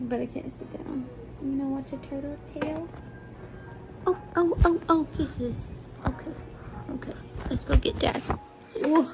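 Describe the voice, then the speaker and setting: A woman talks at a fairly slow pace with long, frequent pauses and big swings in loudness. Clear music plays behind her. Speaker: caregiver vlogger. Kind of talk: casual vlog chat.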